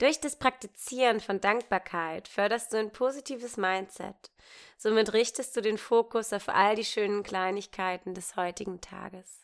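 A woman speaks in an ordinary speaking voice, fairly high in pitch with ordinary pitch variation and big swings in loudness. The recording is very clean, with a silent background. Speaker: meditation guide. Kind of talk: guided meditation. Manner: slow, gentle, soothing pace with long pauses; warm, intimate, calm and reassuring.

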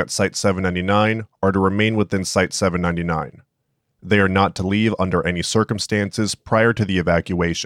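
In a very clean recording with a silent background and a dry, close sound with no echo, a man delivers his words deadpan at a fairly quick pace, with a fairly low pitch, very even loudness and monotone, flat intonation. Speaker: SCP narrator. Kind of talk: scripted horror narration, clinical SCP file reading. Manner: flat, clinical, deadpan, measured.

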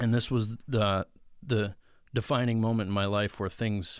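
The speaker talks at a moderate pace with an American accent in a very clean recording with a silent background. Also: man. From central Pennsylvania. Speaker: truck driver and former metal guitarist. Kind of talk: testimony. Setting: studio.

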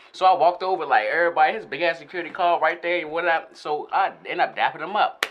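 Over noticeable background noise, a man with a high pitch rushes along at a very fast pace with hardly any pauses. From Northern Virginia, DMV area (Alexandria). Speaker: rapper. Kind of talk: casual interview. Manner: animated.

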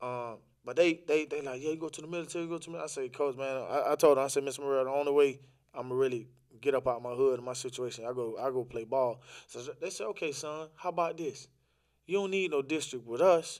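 A man with an American accent, at a fairly high pitch, talking at a very fast pace with ordinary pitch variation. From Orlando, Florida. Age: 20s. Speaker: podcast guest sharing life story. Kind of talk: casual interview conversation. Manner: animated.

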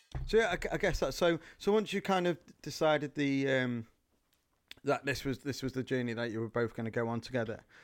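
A fairly high-pitched man with lively intonation at a fairly quick pace, on a very clean recording with a silent background. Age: 30s. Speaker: podcast co-host, father. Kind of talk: casual chat. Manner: halting, many fillers.

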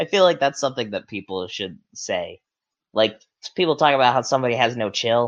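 Animated and fairly quick, a man speaks at a medium pitch with lively intonation. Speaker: podcast host. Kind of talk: casual banter chat. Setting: livestream with chat. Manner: joking, animated.

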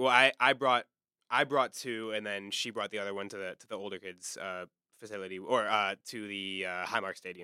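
A man's fairly low, bright and sharp voice with an American accent, moderate in pace with ordinary pitch variation, on a very clean recording with a silent background and a dry, close sound with no echo. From Washington DC area. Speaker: podcast host and university student. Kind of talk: casual interview.

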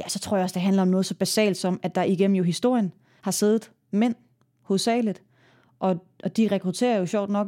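A woman with a dark, mellow tone speaks at medium pitch and a moderate pace with fairly even intonation. The sound is dry and close with no echo, in a very clean recording with a silent background. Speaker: mayor. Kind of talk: interview.

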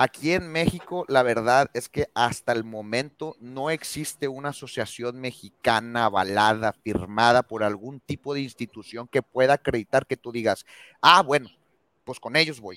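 A man speaks at a moderate pace in a bright, sharp tone, with ordinary pitch variation. The recording is very clean, with a silent background and a dry, close sound with no echo. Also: medium pitch for a man. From Mexico. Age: 30s. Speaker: veterinarian and dog trainer. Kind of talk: casual interview chat.

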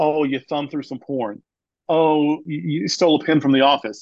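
This man has a normal speaking voice, pitched fairly high, and talks at a moderate pace with an American accent. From US South. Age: 50s. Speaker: pastor. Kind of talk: interview.

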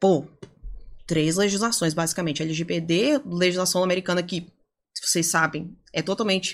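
At a moderate pace and with ordinary pitch variation, the speaker uses a plain, everyday voice. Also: woman, fairly low pitch for a woman. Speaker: data privacy lawyer and lecturer. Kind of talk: podcast interview.

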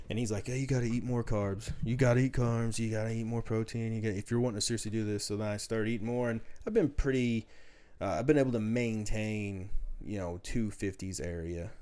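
A man speaks at a fairly quick pace and a medium pitch, in a dark, mellow tone. His intonation is fairly even, with a slight Southern US accent. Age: 30s. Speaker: powerlifter. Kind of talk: casual chat.

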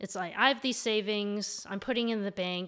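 In a Canadian accent, a woman talks at a medium pitch with ordinary pitch variation and an unremarkable speaking voice, recorded very cleanly against a silent background. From Canada, Ontario (Mississauga). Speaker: real estate investor and architect. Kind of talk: interview conversation.

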